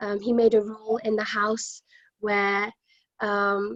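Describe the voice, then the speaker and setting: A woman with a fairly high pitch speaks in a flat monotone, the sound dry and close with no echo. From Fiji, then Cornwall from age six. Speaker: panel guest. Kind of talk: casual chat.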